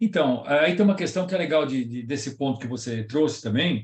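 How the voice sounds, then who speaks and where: A man talks at a fairly high pitch in a somewhat breathy voice. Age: 70s. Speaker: professor and lecturer on leadership. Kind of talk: lecture with audience Q&A. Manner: conversational.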